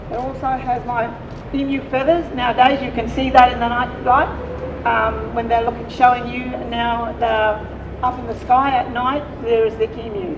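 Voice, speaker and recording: At a moderate pace, a woman speaks at a high pitch in a monotone, flat way, with audible room echo and noticeable background noise. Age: 80s+. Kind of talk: welcome to country speech at a rally. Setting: outdoor rally with crowd. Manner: halting.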